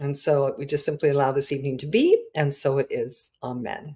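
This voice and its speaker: Somewhat breathy and dark, mellow in tone, a woman speaks at a very deep, low pitch with ordinary variation and a moderate pace. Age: 70s. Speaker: minister, spiritual teacher. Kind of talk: opening prayer; spiritual talk. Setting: online livestream on Zoom. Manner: halting, many fillers and repeats.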